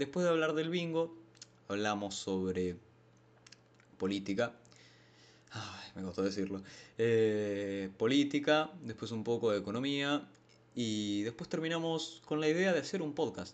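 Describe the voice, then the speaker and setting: A man with a Rioplatense accent, fairly slow, with long, frequent pauses and very wide pitch swings. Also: medium pitch for a man. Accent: Argentine Rioplatense Spanish. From Argentina, San Martín, Buenos Aires. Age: 20s. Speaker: podcast host. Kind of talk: casual monologue. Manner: hesitant, many fillers.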